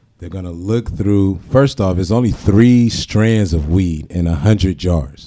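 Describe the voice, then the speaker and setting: In an American accent, a man with a very deep, low pitch and a dark, mellow tone speaks at a moderate pace. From San Diego, California (raised from age seven; earlier Norfolk, Virginia). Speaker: cannabis dispensary employee and performer. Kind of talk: casual interview. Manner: animated, laughs often.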